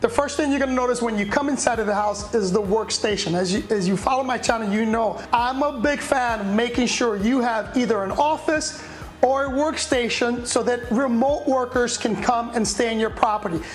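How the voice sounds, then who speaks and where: A woman speaks loudly in a high voice, with an animated tone, at a fairly quick pace and with hardly any pauses. Music plays in the background, and the room echo is audible. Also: ordinary pitch variation. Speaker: vacation rental host giving property tour. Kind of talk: video house tour.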